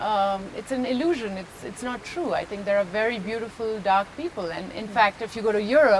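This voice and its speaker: Fairly quick female speech amid noticeable background noise. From Pondicherry, India. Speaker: actress. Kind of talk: interview answer.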